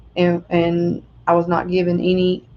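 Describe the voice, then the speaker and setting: The voice belongs to a woman. She talks in a Southern US accent. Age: 30s. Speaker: vlogger. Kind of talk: personal testimony. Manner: halting.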